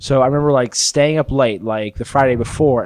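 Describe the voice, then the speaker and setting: With an American accent, a man talks at a fairly quick pace in a normal speaking voice, medium in pitch with ordinary pitch variation, on a very clean, dry, close recording with a silent background and no echo. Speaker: podcast co-host. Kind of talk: casual comedic chat.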